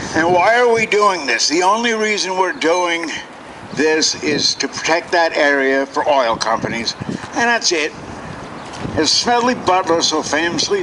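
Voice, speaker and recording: A man with an American accent talks in a high pitch at very even loudness. Noticeable background noise runs underneath. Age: 60s. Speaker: protester. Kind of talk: protest speech.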